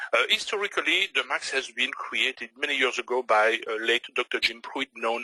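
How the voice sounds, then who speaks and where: At a moderate pace with hardly any pauses, a man at medium pitch speaks with lively intonation in a Belgian French accent, in a dry, close sound with no echo. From Belgium. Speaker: forex trader. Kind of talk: webinar presentation. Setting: online webinar. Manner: hesitant, many fillers.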